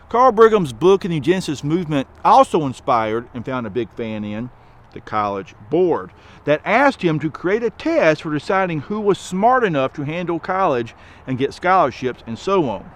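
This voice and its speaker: A man's fairly high voice in a strong Southern accent, moderate pace, very wide pitch swings and big swings in loudness. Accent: thick Southern. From US South, rural. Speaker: education advocate. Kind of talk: commentary monologue.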